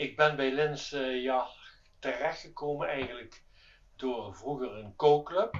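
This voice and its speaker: A man is speaking. His pace is very slow. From Netherlands, Limburg. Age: 70s. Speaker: yacht owner. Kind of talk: testimonial interview. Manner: halting.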